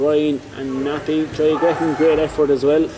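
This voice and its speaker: With a Cork accent, a man speaks at a moderate pace in a space with audible room echo and noticeable background noise. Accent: Irish, Cork. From Ireland, Cork. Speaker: sports commentator. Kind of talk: live commentary. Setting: sports center. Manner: animated.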